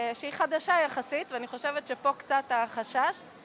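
A woman's high pitch with ordinary pitch variation, amid noticeable background noise. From Israel, Jerusalem. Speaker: engineer. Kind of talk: street interview. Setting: outdoor market.

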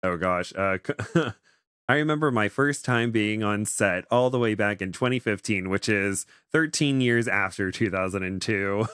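A man speaks at a very slow pace in a fairly low pitch with ordinary pitch variation. The background is quiet, and the sound is dry with no echo. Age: 20s. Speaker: background actor and novice YouTuber; background actor, novice YouTuber. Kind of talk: casual chat. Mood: amused, chatty. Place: home room. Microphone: studio mic.

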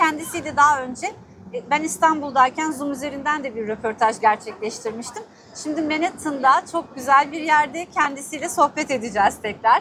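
The voice is raised and projected, with big swings in loudness, ordinary pitch variation and a moderate pace. The sound is dry with no echo, over light background noise. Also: woman, high pitch for a woman. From Istanbul, Turkey. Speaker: news reporter. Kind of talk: interview questions. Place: street. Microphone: lapel.

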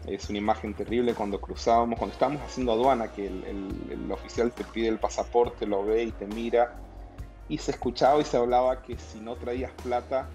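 A man's voice moves at a fairly quick pace. Behind him, faint music plays in the background. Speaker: guest. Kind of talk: interview answer. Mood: warm, reflective, some laughs. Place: office. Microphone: video call.

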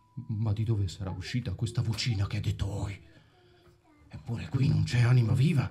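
In a put-on character voice that is shaky, a man at medium pitch talks at a fairly quick pace with long, frequent pauses while faint music plays in the background. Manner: trembling and stammering with fright.

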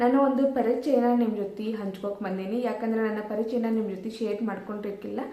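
A woman with a fairly high pitch speaks in a monotone, flat way, with noticeable background noise and audible room echo. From North Karnataka, India. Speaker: vlogger. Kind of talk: channel introduction to camera. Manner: casual, friendly address to viewers.

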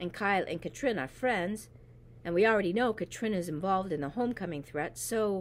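The recording features reading aloud in a natural voice.

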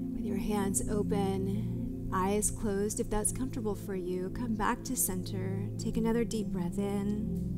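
Loud music in the background accompanies a woman speaking at a fairly slow pace. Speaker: yoga instructor. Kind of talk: guided exercise instruction. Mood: calm, soothing. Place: studio.

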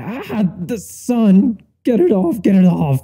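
In a put-on character voice, a man speaks slowly at a high pitch with a dark, mellow tone, a slightly husky edge and big pitch swings.

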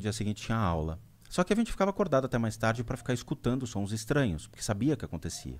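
A man talks at a very fast pace in a medium pitch. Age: 40s. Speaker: spiritual medium; podcast guest. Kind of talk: interview storytelling. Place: studio. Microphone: studio mic.

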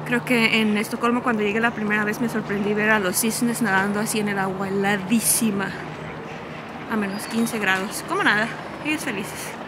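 Noticeable background noise and room echo surround the recording. A woman with a fairly high pitch speaks at a moderate pace in a monotone, flat way. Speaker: travel vlogger. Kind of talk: walking tour vlog. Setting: outdoors walking in city.

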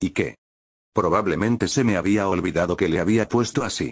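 Against a quiet background with a dry, close sound and no echo, a man speaks in an unremarkable speaking voice at a fairly low pitch with ordinary pitch variation. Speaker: gaming youtuber. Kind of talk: ghost story telling, creepypasta narration.

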